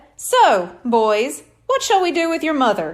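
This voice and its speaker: A woman puts on a character voice, pitched high. She talks at a fairly slow pace with very wide pitch swings. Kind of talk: stage showman. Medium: read story. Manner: smooth, theatrical, flattering.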